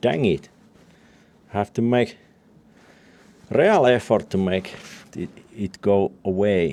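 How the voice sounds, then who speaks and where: At a very slow pace and with long, frequent pauses, a man speaks at a fairly low pitch with ordinary pitch variation. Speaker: DIY tractor restorer. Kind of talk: workshop vlog narration. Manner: halting, many fillers.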